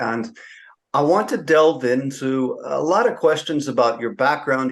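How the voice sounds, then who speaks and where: In a normal speaking voice, a man with an American accent talks at a moderate pace, his medium pitch showing ordinary variation against a quiet background. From California. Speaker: podcast host. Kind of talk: interview. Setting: podcast recording.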